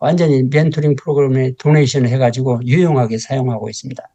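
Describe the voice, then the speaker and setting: Fairly high male voice, dark and mellow in tone, its pitch varying in an ordinary way. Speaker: professor. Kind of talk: lecture. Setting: lecture hall with audience. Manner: halting.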